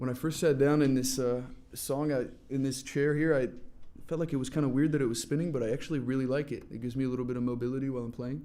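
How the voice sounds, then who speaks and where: A man's dark, mellow voice at a medium pitch with an American accent, very fast pace and monotone, flat intonation, in audible room echo. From France, then northern California from age ten. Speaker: singer-songwriter. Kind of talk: casual chat between songs at live acoustic performance.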